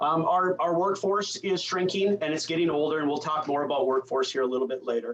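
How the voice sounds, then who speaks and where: A man with a Minnesota accent at a fairly high pitch, fairly quick with hardly any pauses, very even loudness and ordinary pitch variation. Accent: Upper Midwest (Minnesota). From rural northwestern Minnesota, Red River Valley. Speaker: rural health association speaker, former EMS worker. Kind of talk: conference presentation. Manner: frequent fillers and repetitions.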